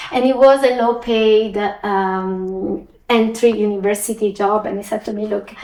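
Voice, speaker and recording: A woman's dark, mellow voice, fairly high in pitch, with fairly even intonation at a moderate pace. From Italy. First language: Italian. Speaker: finance executive. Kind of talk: interview.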